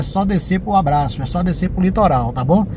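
A man speaks in a high voice, with audible room echo and noticeable background noise. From southern Bahia, Brazil. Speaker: travel vlogger. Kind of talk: vlog narration while driving. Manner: animated.

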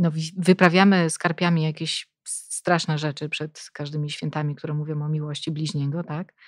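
A woman with a very deep, low pitch talks at a moderate pace in a monotone, flat intonation. The recording is very clean, with a silent background. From Poland, Szczecin area. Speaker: podcast host. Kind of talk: casual interview.

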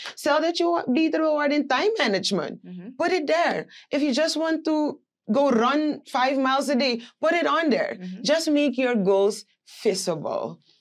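Over a quiet background, a woman with a high pitch speaks at a moderate pace, her pitch swinging very widely. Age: 20s. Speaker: business owner; guest. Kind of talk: interview. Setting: studio. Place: studio. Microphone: lapel.

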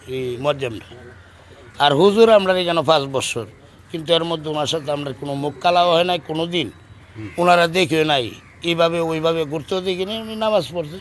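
Ordinary pitch variation in a man's high voice. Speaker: mosque congregant. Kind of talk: interview.

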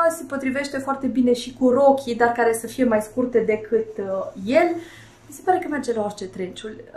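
A woman with a high pitch talks at a moderate pace, showing ordinary pitch variation, with audible room echo. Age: 30s. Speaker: fashion and beauty vlogger; beauty vlogger. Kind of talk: casual fashion tutorial to camera. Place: home room.

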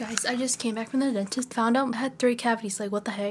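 Talking fast in an American accent, a woman uses a fairly high pitch and ordinary pitch variation over faint background noise.

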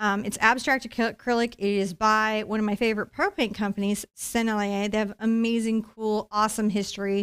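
The background stays quiet. A woman speaks at a moderate pace. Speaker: painting instructor. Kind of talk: tutorial. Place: studio. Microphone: headset.

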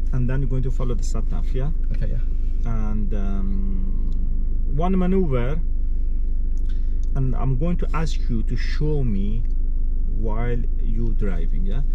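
The speech moves fairly slowly with long, frequent pauses, dry with no echo, while music plays in the background. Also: man. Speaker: driving instructor. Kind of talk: instructions to a learner driver. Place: car. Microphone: camera far.

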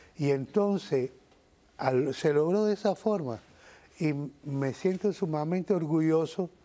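Fairly high-pitched male voice, dark and mellow in tone, with lively intonation and a fairly slow pace. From Cuba. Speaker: musician and composer; guest. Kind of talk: TV interview. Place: studio. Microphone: lapel.

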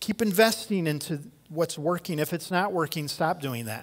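At a moderate pace over a quiet background, a man speaks with a high pitch and lively intonation. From US Midwest. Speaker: pastor. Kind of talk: sermon. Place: church. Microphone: headset.

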